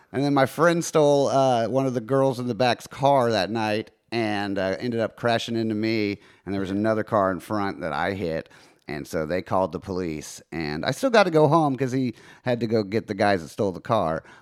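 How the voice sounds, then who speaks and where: A man with a plain, everyday voice speaks at a fairly quick pace in a medium pitch with lively intonation on a very clean recording with a silent background. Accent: American. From Texas. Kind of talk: casual chat.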